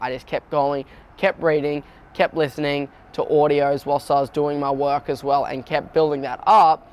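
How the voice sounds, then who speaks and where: Speaking with an Australian accent, a man uses a fairly high pitch at a moderate pace. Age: 20s. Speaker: young entrepreneur. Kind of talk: personal profile interview. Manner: casual, with many fillers.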